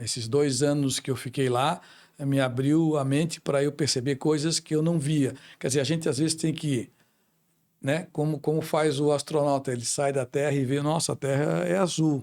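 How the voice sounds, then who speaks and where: A man talks at a moderate pace with a normal speaking voice, fairly high pitch and ordinary pitch variation. The recording is very clean, with a silent background. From Brazil, Florianópolis. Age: 60s. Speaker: businessman. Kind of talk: interview.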